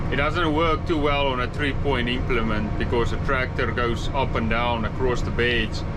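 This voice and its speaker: A man with a medium-pitched voice speaks at a moderate pace with hardly any pauses, very even loudness, and fairly even intonation, heard with an audible room echo and noticeable background noise. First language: not English. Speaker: farmer. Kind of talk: vlog narration. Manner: hesitant, many fillers.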